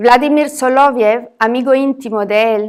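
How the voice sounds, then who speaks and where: In a very clean recording with a silent background, a woman with a non-native accent speaks at a fairly slow pace and a high pitch. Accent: foreign accent in Spanish. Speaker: academic speaker. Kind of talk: reading a lecture paper aloud.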